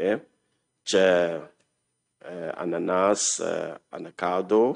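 The man's voice comes through against a quiet background. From Ghana. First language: English or Ghanaian language (speaking Italian). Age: 60s. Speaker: refugee, human rights activist. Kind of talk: personal testimony. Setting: council hall with audience. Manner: halting, many fillers. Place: hall. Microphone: podium.

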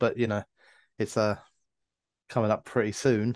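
A man speaks with fairly even intonation in a dry sound with no echo. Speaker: podcast co-host. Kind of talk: casual podcast chat. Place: home room. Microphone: video call.

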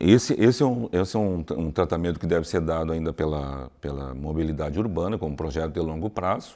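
Over a quiet background, a man with a very deep, low pitch and a dark, mellow tone speaks at a fairly quick pace with hardly any pauses, vocal fry, and ordinary pitch variation. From Santa Maria, Rio Grande do Sul, Brazil; Rio Grande do Sul, Brazil. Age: 60s. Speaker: cultural committee coordinator; interview guest. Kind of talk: interview. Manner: halting, many repetitions. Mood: calm, reflective, explanatory. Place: hall.

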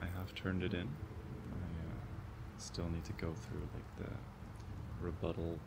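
A man talks at a fairly slow pace against loud background noise. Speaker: student vlogger. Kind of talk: casual vlog chat. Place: garden. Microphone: phone near.

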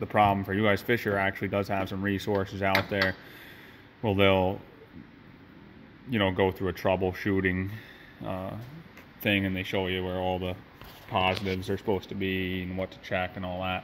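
A man with very deep, low pitch at a moderate pace, long, frequent pauses, light background noise. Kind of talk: casual repair tutorial. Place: garage. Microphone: phone near.

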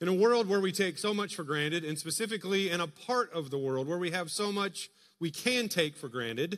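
A man talks at a fairly quick pace, the background quiet. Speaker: pastor. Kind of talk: sermon. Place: church.

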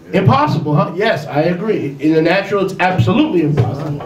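With music in the background, a man speaks very fast at a high pitch with ordinary pitch variation. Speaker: preacher. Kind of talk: sermon. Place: home room.

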